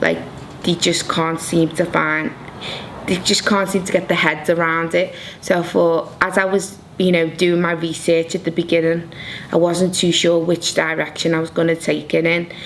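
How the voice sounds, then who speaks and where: A woman with a Liverpool accent speaks at a moderate pace, her fairly low pitch staying monotone and flat. Noticeable background noise runs behind her. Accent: Liverpool (Scouse) English. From Liverpool, England. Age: 30s. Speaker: fashion design graduate. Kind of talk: interview.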